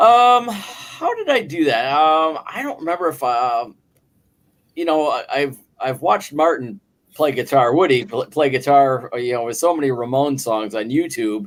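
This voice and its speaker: A man with a Buffalo accent talks in a fairly high pitch, his intonation lively. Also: moderate pace. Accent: Buffalo-area American English. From western New York, near Buffalo. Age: 50s. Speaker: guest singer and guitarist. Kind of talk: casual chat. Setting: live online stream, from work on a break.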